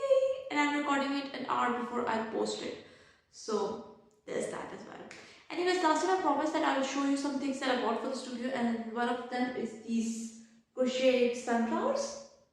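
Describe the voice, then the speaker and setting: There is audible room echo and noticeable background noise. The loudness takes big swings. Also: woman, high pitch for a woman, ordinary pitch variation, moderate pace. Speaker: book and writing vlogger. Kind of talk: casual vlog chat.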